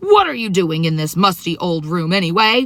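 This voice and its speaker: In a put-on character voice, the speaker growls in a croaky way at a moderate pace, with ordinary pitch variation. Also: woman, fairly low pitch for a woman. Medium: read story. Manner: menacing, bullying.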